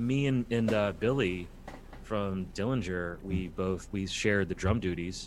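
A man with an unremarkable speaking voice, fairly low in pitch, at a fairly slow pace with ordinary pitch variation. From New York City. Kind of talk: casual interview. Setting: video call.

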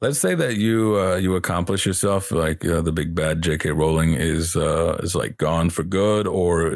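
A man on a very clean recording with a silent background. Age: 20s. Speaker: guest, streamer. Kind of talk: casual chat.

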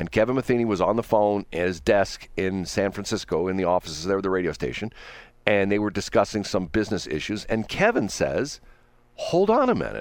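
A fairly quick pace and an unremarkable speaking voice on a very clean recording with a silent background. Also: man. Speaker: radio host. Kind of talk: casual chat. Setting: studio.

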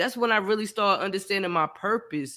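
A man's raised, projected voice, very fast, bright and sharp, with ordinary pitch variation, in a very clean recording with a silent background. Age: 30s. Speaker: podcast host. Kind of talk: casual chat.

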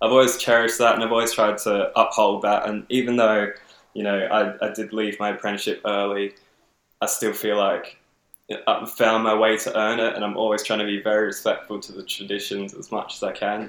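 A man speaks fairly quickly in a flat, monotone way at a fairly low pitch. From Adelaide, South Australia. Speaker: tattoo artist. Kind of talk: casual interview chat.

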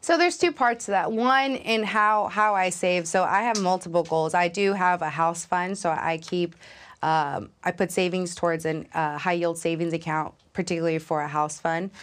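A woman with an American accent and a plain, everyday voice speaks at a moderate pace and a fairly low pitch with ordinary pitch variation, very even loudness, and hardly any pauses against a quiet background. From Los Angeles, California. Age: 20s. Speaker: young tech professional. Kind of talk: interview conversation.

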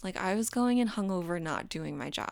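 A woman's medium-pitched voice with an American accent and ordinary pitch variation. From Florida, Daytona Beach. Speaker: podcast guest in recovery. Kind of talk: personal story in casual interview. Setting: video call.

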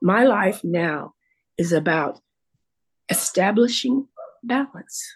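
The voice is somewhat breathy, with lively intonation, a very slow pace and long, frequent pauses. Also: woman, medium pitch for a woman. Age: 70s. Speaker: retired teacher, podcast guest. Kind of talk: casual interview about personal story and recovery. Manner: reflective, hesitant with repeated words.

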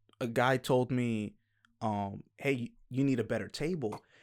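On a very clean recording with a silent background, a man talks with an American accent. His pitch is medium, his pace moderate, with ordinary pitch variation. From US, Dominican American family. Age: 30s. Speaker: podcast host. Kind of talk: casual chat. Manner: halting, many repeated words.

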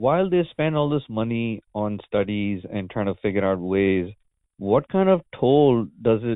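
A man with an unremarkable speaking voice talks at a moderate pace. His pitch is fairly low, with ordinary pitch variation. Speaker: podcast host. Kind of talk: interview.

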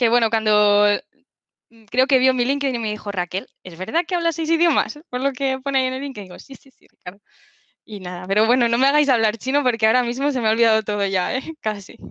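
A woman speaks very fast, her pitch fairly high. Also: big swings in loudness. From Spain, Alicante (southeast). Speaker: Power BI professional, former Spanish teacher. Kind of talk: casual interview chat. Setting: video call.

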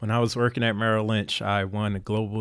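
A man with a Philadelphia accent speaks at a fairly quick pace on a very clean recording with a silent background. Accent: Philadelphia American. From Philadelphia, US. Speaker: navy veteran and endurance athlete. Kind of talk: casual interview.

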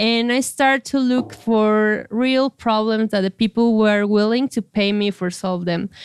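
A woman with a Spanish accent speaks at a fairly slow pace with hardly any pauses, her fairly high voice held to fairly even intonation. The sound is dry and close, with no echo. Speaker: startup founder and CEO. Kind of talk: interview.

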